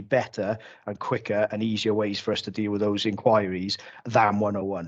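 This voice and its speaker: A man speaks at a fairly low pitch in a Cardiff accent. The background is quiet. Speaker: police officer. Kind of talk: council committee meeting. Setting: video call. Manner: halting, many false starts.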